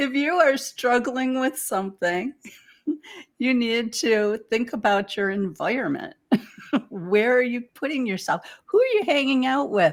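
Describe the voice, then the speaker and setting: A woman speaks with a Detroit accent at a high pitch. Her tone is animated, and her intonation is lively. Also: fairly slow pace. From Detroit, east side. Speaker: spiritual teacher. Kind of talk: casual chat.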